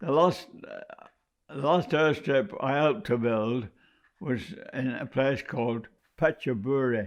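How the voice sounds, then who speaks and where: In a British accent, a man speaks at a very slow pace and a fairly high pitch. His loudness swings widely. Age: 90s. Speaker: war veteran, former prisoner of war. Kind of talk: oral history testimony. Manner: halting, many hesitations.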